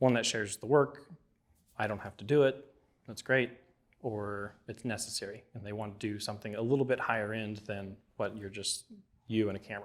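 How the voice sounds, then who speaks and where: A fairly low male voice at a fairly quick pace, with fairly even intonation and big swings in loudness. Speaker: filmmaker teaching a class. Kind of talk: lecture. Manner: mumbles at times; casual, conversational.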